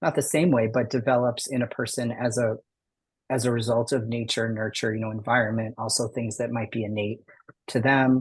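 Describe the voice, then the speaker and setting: A man talks at a medium pitch in a monotone, flat intonation, sounding somewhat breathy. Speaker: educator on gender identity. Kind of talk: presentation. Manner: fast.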